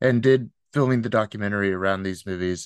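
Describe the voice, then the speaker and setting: A plain, everyday voice talks at a fairly quick pace with ordinary pitch variation, its dry, close sound free of echo over a quiet background. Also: man. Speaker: interviewer. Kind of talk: interview.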